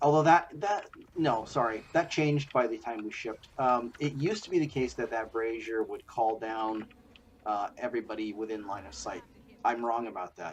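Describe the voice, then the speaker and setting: A man of medium pitch and ordinary pitch variation speaks at a moderate pace, his loudness swinging a lot. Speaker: game designer. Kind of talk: gameplay commentary. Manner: hesitant, casual.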